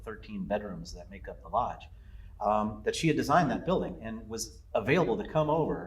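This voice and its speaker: The man's words arrive fairly quickly. Echo from the room is audible. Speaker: lodge owner. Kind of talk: interview. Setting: on location at the lodge. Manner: halting, many fillers and repeats.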